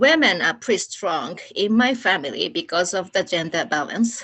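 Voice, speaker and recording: With a Japanese accent, a woman talks at a fairly slow pace. Her pitch swings very widely. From Japan, Nagano. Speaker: Olympic organizing committee staff. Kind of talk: presentation. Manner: halting.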